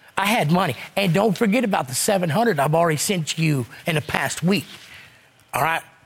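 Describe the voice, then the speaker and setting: A man with a Southern US accent speaks at a moderate pace in a high pitch, with lively intonation, very even loudness, and long, frequent pauses. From US South. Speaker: court show defendant. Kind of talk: heated debate.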